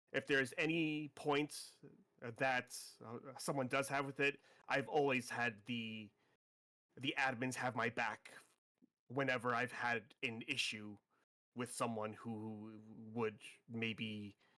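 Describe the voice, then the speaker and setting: Bright and sharp in tone, a man of medium pitch speaks with fairly even intonation and long, frequent pauses. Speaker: role-play community member. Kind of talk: casual chat. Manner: halting.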